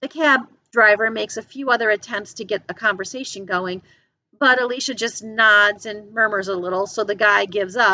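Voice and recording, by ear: Someone reads aloud in a natural voice. The pitch varies in an ordinary way, and the surroundings are quiet.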